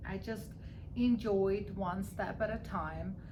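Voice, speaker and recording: A woman speaking at a very slow pace, with audible room echo and noticeable background noise. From Armenia. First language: Armenian. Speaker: real estate broker. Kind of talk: interview.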